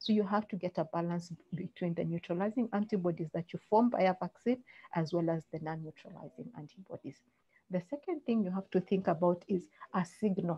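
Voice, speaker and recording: Somewhat breathy, the voice shows ordinary pitch variation. Its pace is fairly quick. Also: woman, medium pitch for a woman. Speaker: doctor giving a medical webinar talk. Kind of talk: lecture. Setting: online webinar. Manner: fast.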